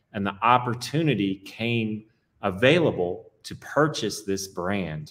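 Ordinary pitch variation in a fairly low-pitched male voice. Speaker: whiskey product development executive. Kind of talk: casual interview. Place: office.

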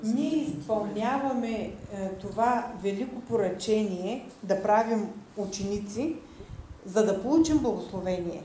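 Someone speaks fairly slowly in a Bulgarian accent, with ordinary pitch variation. There is audible room echo and light background noise. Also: woman, fairly high pitch for a woman. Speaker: interpreter. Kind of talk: consecutive interpretation of sermon; interpreted sermon teaching. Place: church. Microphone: headset.

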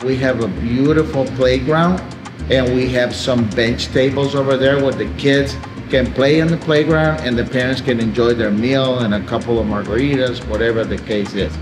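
Over clear background music, a man speaks at a moderate pace with ordinary pitch variation. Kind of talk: interview answer. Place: cafe.

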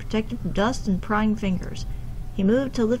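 Text read aloud, plainly

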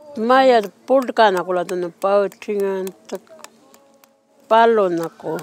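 A woman talks very slowly, leaving long, frequent pauses, and her loudness rises and falls widely. The sound is dry with no echo, and faint music plays in the background. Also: ordinary pitch variation. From Western Australia. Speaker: community elder. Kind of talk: interview. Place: open country.

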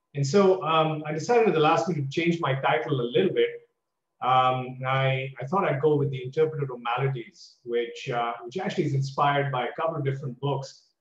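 Over a quiet background with audible room echo, a man speaks at a fairly quick pace in a somewhat breathy voice with ordinary pitch variation. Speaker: guest lecturer. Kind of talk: lecture. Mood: warm, self-deprecating. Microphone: video call.

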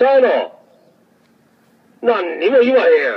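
In an angry tone, a man with a Kansai accent speaks at an extremely high pitch. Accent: Kansai Japanese. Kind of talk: street protest heckling. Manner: angry, confrontational.

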